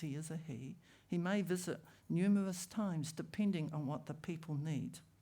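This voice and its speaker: A woman speaks at a moderate pace in a very deep, low voice that is dark, mellow and somewhat breathy, with ordinary pitch variation. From New Zealand, Ōtaki (Māori). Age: 60s. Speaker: rongoā healer. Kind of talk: public talk.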